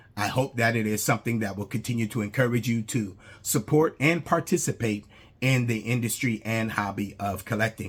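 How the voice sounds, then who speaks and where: A man speaks at a fairly quick pace in a somewhat breathy, medium-pitched voice with ordinary pitch variation. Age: 60s. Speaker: YouTuber, statue collector. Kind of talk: casual vlog monologue. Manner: hesitant, many fillers.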